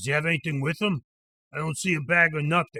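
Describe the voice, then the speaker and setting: A man does a put-on character voice at a fairly high pitch and a very fast pace, with ordinary pitch variation and a dry, close sound with no echo. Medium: read story. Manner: terse, gruff.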